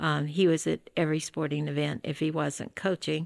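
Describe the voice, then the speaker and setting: A woman with a very deep, low pitch and a Southern US accent, in a dry, close sound with no echo on a very clean recording with a silent background. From West Tennessee (Jackson). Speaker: retired school teacher and administrator. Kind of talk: interview conversation.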